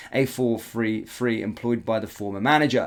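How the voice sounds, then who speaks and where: A man talks with an English accent and ordinary pitch variation. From England. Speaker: football YouTuber. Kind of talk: reading news report; casual commentary. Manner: filler-heavy, lots of ums.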